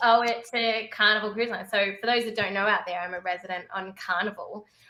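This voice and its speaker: A woman with an Australian accent speaks at a fairly quick pace in an animated, bright, sharp tone at a fairly high pitch. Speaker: cruise ship entertainer. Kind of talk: casual chat.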